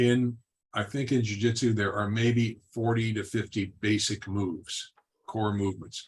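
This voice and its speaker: A man's somewhat breathy, fairly low voice at a moderate pace. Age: 70s. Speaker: martial arts teacher. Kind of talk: panel discussion. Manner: halting.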